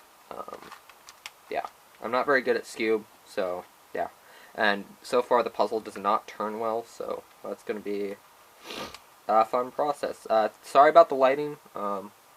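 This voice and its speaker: Amid noticeable background noise, a man talks at a fairly slow pace with long, frequent pauses and big swings in loudness. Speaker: puzzle hobbyist youtuber. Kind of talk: tutorial. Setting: bedroom loft bed. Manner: halting.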